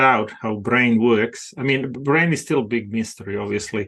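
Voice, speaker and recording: A man talks at a moderate pace and medium pitch with fairly even intonation. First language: not English; English is second language. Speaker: mindset performance coach. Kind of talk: podcast interview. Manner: halting, frequent fillers.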